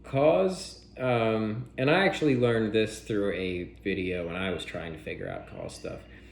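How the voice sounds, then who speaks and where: A man speaks at a fairly slow pace with hardly any pauses, his pitch fairly low. Audible room echo and noticeable background noise surround his voice. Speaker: toy collector and YouTuber. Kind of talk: unboxing tutorial. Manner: casual, filler-heavy; quieter to not disturb daughter.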